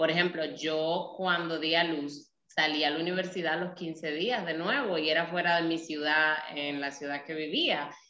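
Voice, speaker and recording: A woman's fairly low-pitched, bright, sharp voice at a fairly slow pace, with audible room echo. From Dominican Republic, Nagua. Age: 30s. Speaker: mother, project creator. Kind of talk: casual interview. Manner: talkative.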